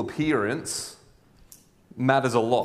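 A man's medium-pitched voice at a very slow pace. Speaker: pastor and school chaplain. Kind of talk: sermon. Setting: church. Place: church. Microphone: lapel.

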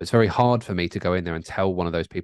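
The man's voice has a very deep, low pitch. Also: quiet background, dry sound with no echo. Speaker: podcast co-host. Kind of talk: podcast discussion answer. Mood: thoughtful, calm. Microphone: studio mic.

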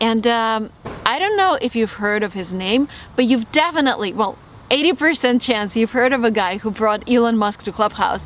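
A woman speaks at a moderate pace and fairly high pitch, with ordinary pitch variation. The sound is dry with no echo, over light background noise. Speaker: YouTube host and interviewer. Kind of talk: video intro to camera. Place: forest.

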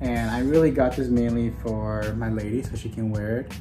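Clear music plays behind a man as he talks. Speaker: jersey collector vlogger. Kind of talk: casual vlog chat. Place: home room. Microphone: camera far.

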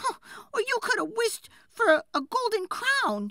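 A woman performs a put-on character voice with a bright, sharp tone and extremely high pitch, speaking fairly slowly with big pitch swings.

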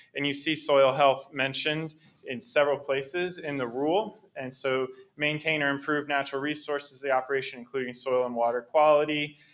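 Noticeable background noise sits behind the voice. A man speaks at a fairly high pitch with fairly even intonation. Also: fairly quick pace. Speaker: organic education specialist. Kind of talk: lecture. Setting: stage with audience.

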